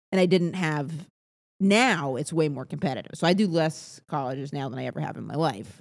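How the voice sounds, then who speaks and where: A woman with a very deep, low pitch and vocal fry speaks at a fairly quick pace with lively intonation on a very clean recording with a silent background. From New England, Maine. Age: 30s. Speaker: stand-up comedian. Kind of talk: casual chat. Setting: in person.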